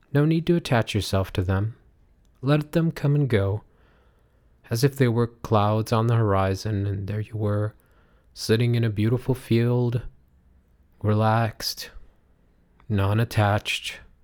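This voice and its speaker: The speaker goes at a fairly slow pace with long, frequent pauses, using a soothing, calm tone and ordinary pitch variation. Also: man, medium pitch for a man. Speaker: meditation guide. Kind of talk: guided meditation. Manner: slow, soothing, calm; gentle, drawn-out, hypnotic cadence with audible breaths and sighs.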